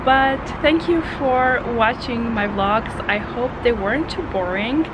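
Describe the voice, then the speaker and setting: Noticeable background noise behind a woman talking. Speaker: travel vlogger. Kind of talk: casual vlog chat. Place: home room. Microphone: phone near.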